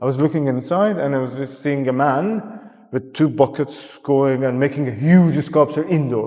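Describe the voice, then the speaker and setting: Medium tempo and typical pitch movement from a male speaker. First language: not English. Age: 30s. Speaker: artist. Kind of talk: casual chat. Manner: halting, many restarts and fillers.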